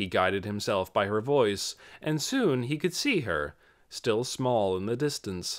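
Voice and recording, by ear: Intonation here is lively. The passage is heard reading aloud in a natural voice.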